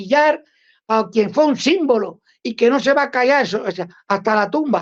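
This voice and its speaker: A woman with a Cuban accent speaks at a moderate pace with lively intonation. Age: 60s. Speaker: Cuban anti-communist activist. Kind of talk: interview. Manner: halting, with many repetitions.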